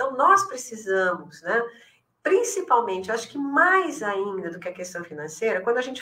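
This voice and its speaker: Her fairly high voice swings very widely in pitch as this woman talks at a moderate pace. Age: 60s. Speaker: elder care specialist. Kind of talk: podcast interview. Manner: hesitant, many fillers.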